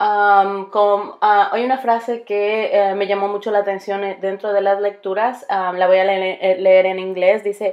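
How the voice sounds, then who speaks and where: With a strong Spanish accent, a woman speaks at a fairly slow pace in a monotone, flat voice, with hardly any pauses. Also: medium pitch for a woman. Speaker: bilingual teacher and graduate student. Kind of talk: recorded class presentation. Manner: halting, many fillers and restarts.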